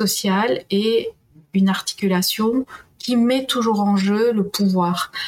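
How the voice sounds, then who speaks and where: A somewhat breathy woman at medium pitch, very slow with long, frequent pauses, fairly even intonation and very even loudness. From Peru. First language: Spanish (speaking French). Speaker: historian and university professor. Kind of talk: interview.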